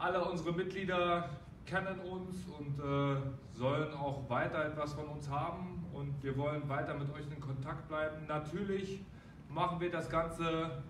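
Speech comes at a fairly slow pace with fairly even intonation, against light background noise and audible room echo. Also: man. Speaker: boxing gym trainer. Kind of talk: announcement to members. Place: gym. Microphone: camera far.

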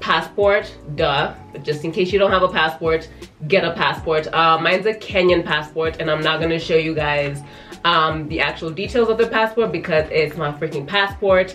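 Faint music plays in the background. A woman speaks at a moderate pace in a fairly low voice with ordinary pitch variation. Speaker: travel vlogger. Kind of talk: casual vlog chat. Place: home room.

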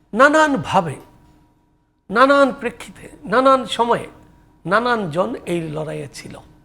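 A man's raised, projected voice sits at an extremely high pitch, with very wide pitch swings, big swings in loudness and a bright, sharp tone. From Bangladesh. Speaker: political commentator; talk show guest. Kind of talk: news interview commentary; political discussion. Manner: halting, many pauses. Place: studio. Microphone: lapel.

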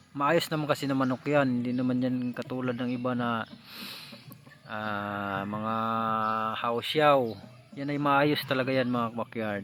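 Speaking at a fairly slow pace, a man holds a medium pitch. His intonation stays fairly even. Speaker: gamecock breeder vlogger. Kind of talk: casual vlog narration. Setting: outdoors at a poultry yard.

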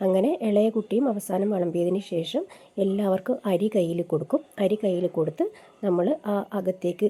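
Her voice has a dark, mellow tone, as a woman speaks at medium pitch with ordinary pitch variation. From Kerala, Kasaragod district. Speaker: vlogger. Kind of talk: casual vlog narration.

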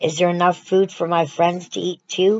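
A woman's put-on character voice, fairly low in pitch, at a moderate pace. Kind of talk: children's story reading. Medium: read story. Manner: gentle, slow, innocent. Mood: gently asking.

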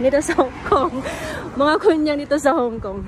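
A fairly slow pace over background music, dry and echo-free. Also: woman. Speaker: vlogger. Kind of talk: casual vlog chat. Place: street. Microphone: phone near.

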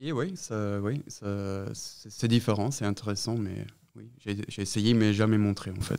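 The voice is dark and mellow, with fairly even intonation and a very slow pace. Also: man. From Austria, Vienna. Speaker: sound artist. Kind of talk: interview. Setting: exhibition space. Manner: halting.

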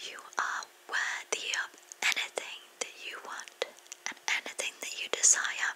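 A woman's gentle whispering at a fairly slow pace. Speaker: ASMR creator. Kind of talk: ASMR positive affirmations to camera. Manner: soft, gentle, relaxing. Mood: warm, soothing. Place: home room. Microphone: studio mic.

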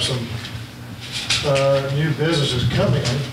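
A man at a medium pitch, fairly even in intonation, with audible room echo.

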